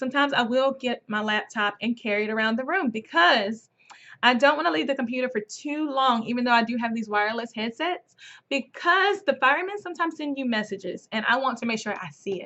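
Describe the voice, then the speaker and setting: A woman's high-pitched voice with lively intonation at a fairly quick pace. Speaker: online English teacher. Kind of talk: casual vlog tutorial. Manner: fast.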